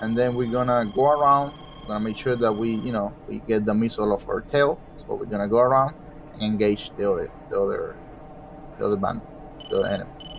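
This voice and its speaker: Noticeable background noise accompanies a man with a non-native accent who talks at a very fast pace in a medium pitch with ordinary pitch variation. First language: not English. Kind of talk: gameplay commentary. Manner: casual, explanatory.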